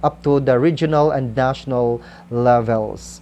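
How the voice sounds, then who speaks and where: A woman's very slow speech in a dark, mellow tone with a Visayan Filipino accent. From Philippines, Kalinog, central Panay. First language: Kinaray-a. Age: 40s. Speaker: school principal and writer. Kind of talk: interview, personal account. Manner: hesitant, many fillers.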